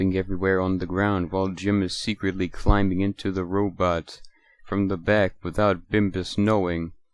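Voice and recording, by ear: Someone is reading aloud in a natural voice. The delivery is reading aloud.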